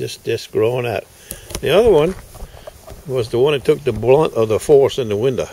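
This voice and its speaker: The man talks at a moderate pace. Light background noise sits under a dry sound with no echo. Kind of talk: casual vlog chat. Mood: relaxed, upbeat. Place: street. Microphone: phone near.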